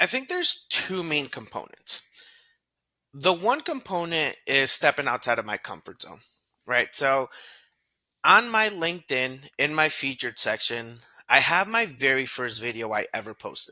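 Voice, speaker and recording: A man's bright, sharp voice at a fairly high pitch makes very wide pitch swings in a very clean recording with a silent background. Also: moderate pace. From US (raised from age 5), born in Ecuador. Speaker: LinkedIn content creator, recruiter. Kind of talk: podcast interview. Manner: conversational, some hesitations and repetitions.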